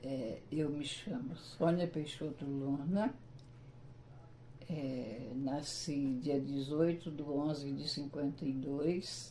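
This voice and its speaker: A woman speaks very slowly at a very deep, low pitch with a dark, mellow tone. Her intonation is fairly even, and room echo can be heard. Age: 70s. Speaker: retired teacher, local pioneer. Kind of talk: interview. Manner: hesitant, with fillers.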